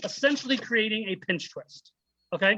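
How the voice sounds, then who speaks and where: Raising and projecting his voice, a man speaks in a bright, sharp tone with ordinary pitch variation. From United States. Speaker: balloon artist. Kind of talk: tutorial. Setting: video call. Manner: fast.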